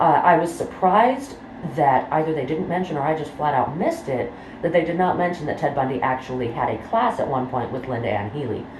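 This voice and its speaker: The pace is fairly quick. Background noise is noticeable throughout. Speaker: true crime YouTuber. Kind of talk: casual talk to camera. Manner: rambling, many filler words.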